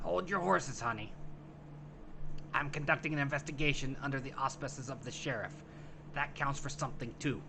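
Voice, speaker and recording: Through loud background noise, a man uses a gravelly put-on character voice at a fairly high pitch, talking at a fairly quick pace with long, frequent pauses. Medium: solo performance. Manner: gruff, sardonic.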